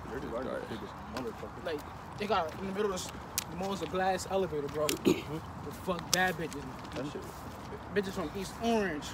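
Over loud background noise, a man talks at a very fast pace with ordinary pitch variation, in a dry sound with no echo. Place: street. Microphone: phone near.

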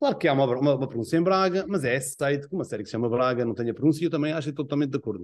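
Very fast delivery with lively intonation against a quiet background. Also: man. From Azores, São Miguel; Azores. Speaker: tv series director. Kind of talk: interview. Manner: halting. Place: home room. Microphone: video call.

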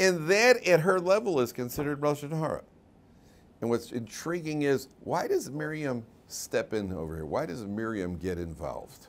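At a moderate pace, a man with an American accent speaks with very wide pitch swings. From US Midwest (Chicago). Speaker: rabbi and Torah teacher; rabbi, Torah teacher. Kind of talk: lecture. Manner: conversational, interactive with audience. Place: classroom.

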